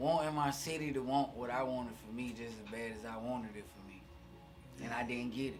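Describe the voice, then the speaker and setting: A man with a Southern US accent speaks at a fairly quick pace and a medium pitch, his intonation fairly even but his loudness swinging a lot. Music plays in the background, and the room echo is audible. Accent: southern twang. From US South, Alabama (Fairfield, near Birmingham). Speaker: rapper. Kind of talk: casual chat.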